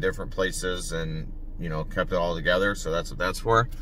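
The delivery is flat and monotone at a moderate pace, the sound dry with no echo and a little background noise. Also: man. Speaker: reseller vlogger. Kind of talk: casual vlog chat. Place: car. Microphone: phone near.

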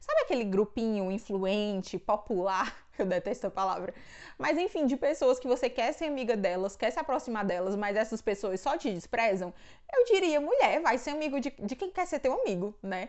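A woman speaks at a moderate pace with a fairly high pitch and very wide swings in pitch. The background is quiet. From Brazil, Ceará (Northeast). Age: 20s. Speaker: book and theology YouTuber; YouTuber. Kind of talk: casual Q&A vlog. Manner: casual, chatty with fillers. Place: home room. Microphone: lapel.

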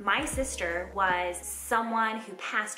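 Light background noise and audible room echo surround a woman whose pitch varies in an ordinary way. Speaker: skating coach. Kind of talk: casual vlog chat. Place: home room.

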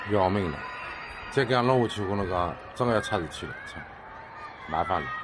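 A man with a Shanghainese accent talks at a fairly quick pace with ordinary pitch variation over noticeable background noise. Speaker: resident filming. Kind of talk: amateur phone video narration. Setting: outdoors, high-rise apartment. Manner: agitated, alarmed. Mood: alarmed, exasperated. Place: home room. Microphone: phone near.

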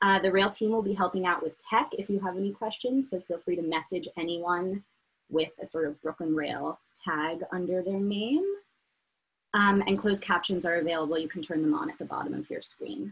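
The pace is fairly quick. The voice sounds somewhat breathy. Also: woman. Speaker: event moderator. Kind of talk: event introduction and housekeeping notes. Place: home room. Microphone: video call.

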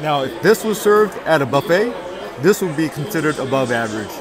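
Over crowd noise in the background, a man talks at a fairly quick pace, the sound dry with no echo. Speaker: food vlogger. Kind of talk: casual vlog chat. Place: cafe. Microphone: phone near.

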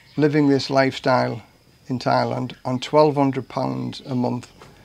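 Monotone, flat intonation from a man, pitched in the middle range. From northeast England. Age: 60s. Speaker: retired firefighter, vlogger. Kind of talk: vlog monologue. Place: garden. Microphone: phone near.

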